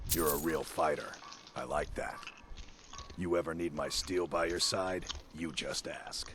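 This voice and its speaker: A man does a raspy, put-on character voice at a moderate pace, leaving long, frequent pauses. Clear background noise runs underneath. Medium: video game. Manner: gruff.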